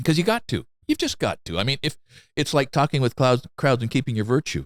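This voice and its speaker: A man with vocal fry talks at a fairly quick pace with lively intonation, the very clean recording silent in the background and dry and close with no echo. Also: medium pitch for a man. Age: 60s. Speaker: carpenter and craftsman YouTuber. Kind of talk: casual chat. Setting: in his shop.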